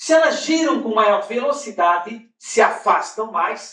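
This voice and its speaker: A man with a Brazilian accent, at a very slow pace. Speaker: spiritist lecturer. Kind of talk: lecture. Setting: conference hall with audience.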